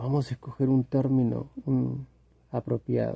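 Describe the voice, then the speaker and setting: The speaker is a man with a somewhat breathy voice. His pitch sits in the middle range. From Latin America. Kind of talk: casual monologue to camera. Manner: hesitant, repetitive, reflective.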